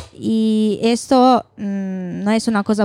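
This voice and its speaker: A woman with an Italian accent speaks in a fairly high pitch with a dark, mellow tone and fairly even intonation, on a very clean recording with a silent background. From Italy. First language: Italian (speaking Spanish). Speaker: doctoral researcher. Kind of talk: live panel discussion. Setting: bar with live audience.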